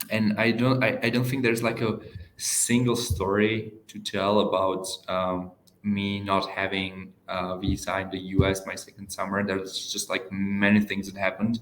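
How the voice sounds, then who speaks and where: A man's fairly low voice with an Eastern European accent, flat and monotone, at a moderate pace. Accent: Eastern European, heard as Russian. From Czech Republic. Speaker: door-to-door salesperson. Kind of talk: casual chat. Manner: halting, many fillers.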